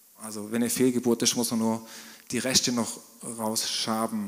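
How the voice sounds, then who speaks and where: A man's medium-pitched voice keeps a fairly even intonation at a moderate pace, with noticeable background noise around it. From southwestern Germany, Swabian Jura. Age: 30s. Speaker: business owner. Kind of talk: church interview testimony.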